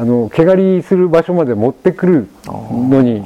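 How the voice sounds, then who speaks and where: Fairly high-pitched for a man, this an unremarkable speaking voice moves at a fairly slow pace. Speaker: sheep ranch owner and former French chef. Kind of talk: casual chat.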